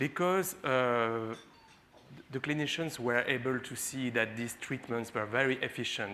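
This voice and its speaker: A man speaks at a fairly slow pace. His tone is bright and sharp, with ordinary pitch variation. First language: French. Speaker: physician and HIV researcher. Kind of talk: conference talk. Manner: halting, many fillers.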